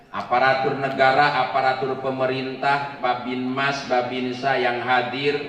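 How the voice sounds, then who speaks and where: A man speaks at a very slow pace in a monotone, flat intonation. Audible room echo and noticeable background noise fill the recording. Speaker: Islamic preacher. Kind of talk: sermon. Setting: stage with audience, PA system.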